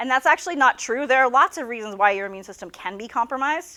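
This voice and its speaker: In a very clean recording with a silent background, a woman talks very fast with lively intonation. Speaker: biology professor. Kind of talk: lecture. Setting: classroom with students.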